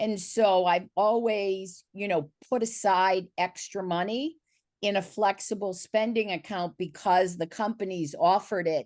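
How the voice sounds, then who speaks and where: In a quiet background, a woman with an ordinary speaking voice talks at a fairly slow pace and medium pitch. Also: ordinary pitch variation. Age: 60s. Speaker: panelist. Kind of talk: virtual panel discussion. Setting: video call.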